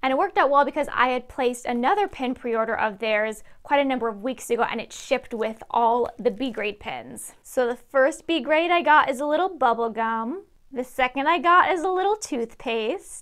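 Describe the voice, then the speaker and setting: A woman speaks at a moderate pace in a high pitch with lively intonation. She takes hardly any pauses, and the background is quiet. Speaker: pin collecting vlogger. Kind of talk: casual haul vlog chat. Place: home room. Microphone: lapel.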